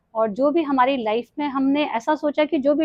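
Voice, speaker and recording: A woman with a high pitch, ordinary pitch variation and a moderate pace. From Delhi, India (Kumaoni family from Uttarakhand). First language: Kumaoni (speaking Hindi). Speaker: retired nurse, yoga and mindfulness coach. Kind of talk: podcast interview.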